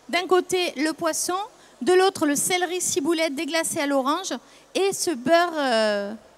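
A woman speaks at an extremely high pitch and a fairly slow pace. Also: ordinary pitch variation.

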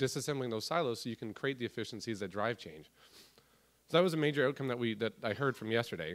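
Over a quiet background, a man speaks at a very fast pace with ordinary pitch variation. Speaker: conference presenter. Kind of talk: conference talk. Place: hall. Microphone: podium.

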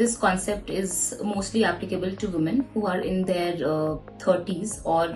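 A woman talks at a moderate pace with a fairly low pitch and monotone, flat intonation. Faint music sits in the background. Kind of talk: explainer interview answer. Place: office.

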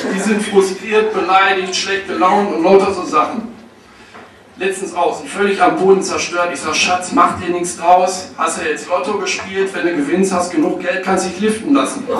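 Ordinary pitch variation and a moderate pace come through with light background noise and audible room echo. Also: man, high pitch for a man. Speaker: stand-up comedian. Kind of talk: stand-up comedy routine with storytelling and jokes. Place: stage.

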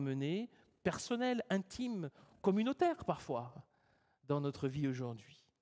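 A man's high-pitched, fairly slow speech with very wide pitch swings. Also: quiet background. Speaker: preacher. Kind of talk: sermon. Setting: church. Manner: formal, earnest, measured preaching tone. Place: church.

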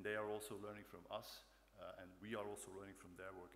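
The speech moves at a very fast pace. Light background noise sits underneath. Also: man. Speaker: conference presenter. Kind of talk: conference talk. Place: hall. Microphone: podium.

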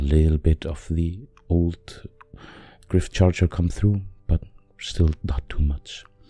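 With a non-native accent, a man speaks at a fairly slow pace in a very deep, low voice that is somewhat breathy and dark and mellow in tone, with ordinary pitch variation. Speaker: miniature painter. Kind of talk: painting tutorial narration.

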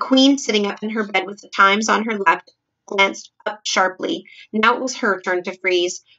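The backdrop is silent while an unforced reading voice carries normal rises and falls in pitch.

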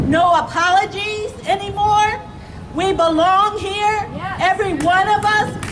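Over crowd noise in the background, a woman speaks at a fairly slow pace with an extremely high pitch, fairly even intonation and very even loudness. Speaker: reverend, rally speaker; speaker. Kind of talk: rally speech with sermon-like cadence. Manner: impassioned, rhythmic. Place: street.

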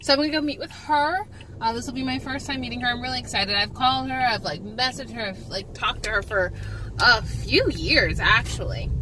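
A woman's fairly quick speech, dry with no echo, over light background noise. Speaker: vlogger. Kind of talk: casual vlog chat. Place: car.

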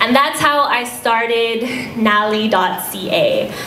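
A woman at a fairly high pitch, with light background noise and audible room echo. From Quebec. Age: 20s. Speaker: breast cancer patient and blogger; guest. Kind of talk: speech. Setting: fundraiser dinner stage with audience. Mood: earnest, personal. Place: hall. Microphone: handheld.

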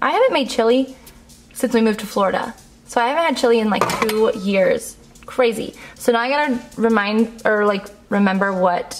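At a moderate pace, a woman speaks with ordinary pitch variation as light background noise runs beneath. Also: very even loudness. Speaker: lifestyle vlogger. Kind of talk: casual vlog chat. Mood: cheerful, laughing. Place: home room.

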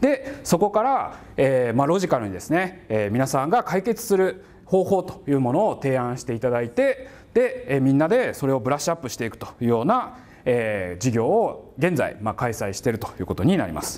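This man speaks at a fairly quick pace in a fairly high voice that swings very widely in pitch. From Japan, Kagawa; Japan. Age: 40s. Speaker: university professor. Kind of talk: lecture. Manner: casual, conversational with many fillers. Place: classroom. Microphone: lapel.

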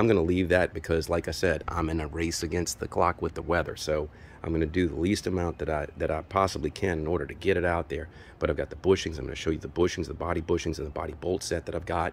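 Very deep and low, a man's voice races at a very fast pace in a monotone, flat delivery, dry with no echo but with light background noise. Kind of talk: casual vlog chat. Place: garden. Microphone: phone near.

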